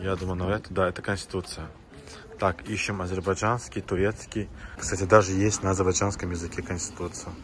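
Light background noise sits behind a man speaking at a fairly quick pace in a very deep, low pitch with monotone, flat intonation. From Azerbaijan. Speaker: vlogger. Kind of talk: casual travel vlog narration. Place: street. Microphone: phone near.

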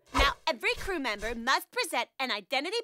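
A cartoonish character voice plays over faint music in the background.

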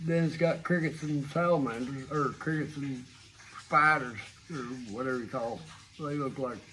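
A man at a moderate pace with fairly even intonation, over light background noise. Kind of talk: interview answer. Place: tunnel cave. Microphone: phone near.

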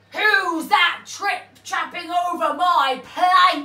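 A woman's extremely high put-on character voice at a very slow pace. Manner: jeering, mocking.

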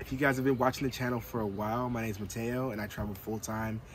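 A man speaks with ordinary pitch variation. The sound is dry with no echo, with light background noise. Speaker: van life vlogger. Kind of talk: casual vlog chat. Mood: excited but a little nervous. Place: car.

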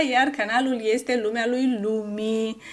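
A woman speaks with a fairly high pitch. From Romania, Tecuci, Galați county; Romania. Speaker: YouTuber. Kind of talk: casual vlog Q&A. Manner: animated. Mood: warm, grateful. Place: home room.

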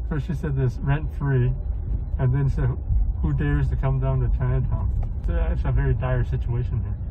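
A man speaking at a moderate pace over loud background noise. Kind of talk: commentary. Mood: calm, concerned. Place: car. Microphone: phone near.

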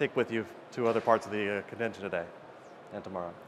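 A man talks very fast with ordinary pitch variation over light background noise. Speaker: conference presenter. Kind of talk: conference talk. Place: stage. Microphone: lapel.

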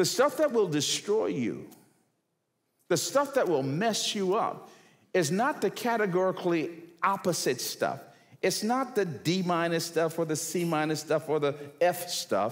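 In an animated tone with lively intonation, a man speaks at a fairly slow pace and a high pitch. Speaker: guest preacher. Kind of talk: sermon. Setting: church with audience. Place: church. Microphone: headset.

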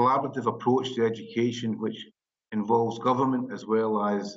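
A man speaks with a Scottish accent at a fairly quick pace, his pitch medium. His intonation stays monotone and flat over a quiet background. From Scotland. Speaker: teacher union representative. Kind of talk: webinar presentation. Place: office. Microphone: video call.

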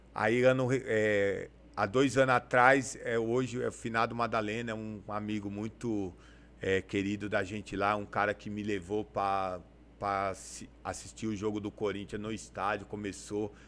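A fairly slow pace and a monotone, flat delivery. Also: man, fairly low pitch for a man. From Brazil, São Paulo state (Campo Limpo Paulista); São Paulo state, Brazil. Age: 40s. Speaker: community leader and amateur football club president; podcast guest. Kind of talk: casual interview. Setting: studio. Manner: halting, with many fillers. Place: studio. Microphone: studio mic.

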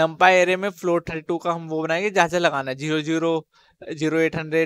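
In an ordinary speaking voice, a man with a fairly high pitch talks at a moderate pace, the sound dry with no echo. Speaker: coding tutorial youtuber. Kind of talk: tutorial. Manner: casual. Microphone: headset.

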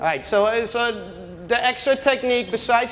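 A man in a Dutch accent over light background noise. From Netherlands. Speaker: youth soccer coach. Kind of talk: coaching workshop presentation with live drills. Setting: workshop with live audience. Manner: gives short brisk commands. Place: hall. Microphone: camera far.

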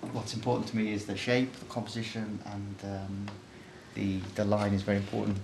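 Amid audible room echo and noticeable background noise, a man with a fairly low pitch speaks at a moderate pace in a monotone, flat intonation. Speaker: artist. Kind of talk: informal presentation of own artwork. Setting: art studio. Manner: hesitant, many fillers.

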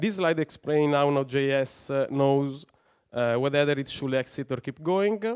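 Over a quiet background, a man with an Italian accent talks at a fairly slow pace and a fairly high pitch with ordinary pitch variation. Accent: non-native English, Italian. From Italy. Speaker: software engineer, conference speaker; conference speaker. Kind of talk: conference talk. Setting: stage with audience. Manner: halting, many fillers. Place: hall. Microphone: headset.

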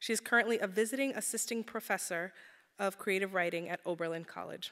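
Against a quiet background, a woman talks. Her pace is very fast. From St. Croix. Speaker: event organizer. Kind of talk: formal introduction. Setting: stage with audience. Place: hall. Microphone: podium.

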